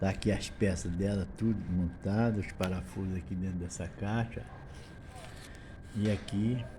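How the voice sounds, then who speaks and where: With a dark, mellow tone and a somewhat breathy quality, the voice moves at a fairly slow pace with long, frequent pauses and audible room echo. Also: man, fairly low pitch for a man, fairly even intonation. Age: 70s. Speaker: handyman / repair tradesman. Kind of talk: tutorial. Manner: casual, repetitive.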